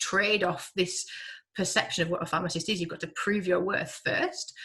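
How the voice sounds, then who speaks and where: A woman with a Yorkshire accent, fairly low in pitch, at a moderate pace with ordinary pitch variation. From Yorkshire, northern England. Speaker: hospital pharmacist. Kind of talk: webinar Q&A answer.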